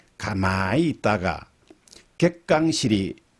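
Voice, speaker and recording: His fairly low voice makes very wide pitch swings as the man talks. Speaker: professor emeritus, dialect researcher. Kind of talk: radio interview answer.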